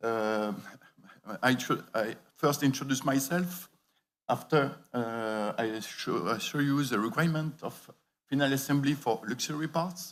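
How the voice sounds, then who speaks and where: A man with a French accent talks at a fairly slow pace, with ordinary pitch variation and long, frequent pauses. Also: medium pitch for a man. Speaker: industry expert speaker. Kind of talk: conference presentation. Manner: halting.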